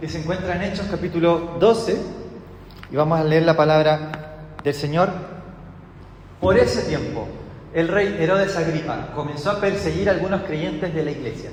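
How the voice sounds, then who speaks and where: A man with a high pitch speaks at a moderate pace with fairly even intonation and long, frequent pauses. Noticeable background noise and audible room echo surround him. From Chile. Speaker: pastor. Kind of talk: sermon.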